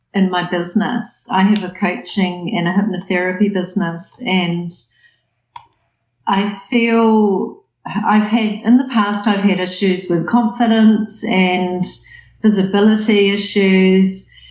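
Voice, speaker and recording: Somewhat breathy, a woman with a New Zealand accent speaks very slowly at a medium pitch with fairly even intonation, and audible room echo is present. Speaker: coach and hypnotherapist. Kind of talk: coaching session.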